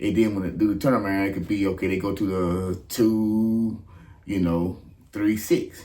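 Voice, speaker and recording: Audible room echo surrounds a man with a fairly low pitch who talks at a moderate pace with ordinary pitch variation. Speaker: gospel bass teacher. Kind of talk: tutorial. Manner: casual, filler-heavy.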